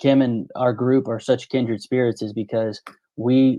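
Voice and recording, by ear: Speaking in a medium pitch with little pitch movement, a man has a dark, mellow tone.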